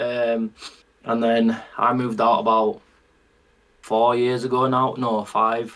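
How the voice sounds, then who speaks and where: A man's medium-pitched voice in a Yorkshire accent, monotone and flat, very slow, with very even loudness and long, frequent pauses. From northern England, Bradford. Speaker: country singer. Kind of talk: casual chat.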